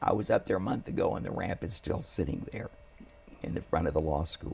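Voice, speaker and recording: Noticeable background noise sits behind a man who talks at a fairly quick clip. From Houston, Texas. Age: 70s. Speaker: family attorney. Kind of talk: interview.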